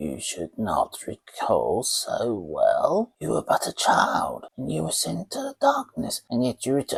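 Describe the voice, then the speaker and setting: In a croaky, put-on character voice, a man talks at a fairly slow pace with hardly any pauses. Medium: read story. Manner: dithering, doddering.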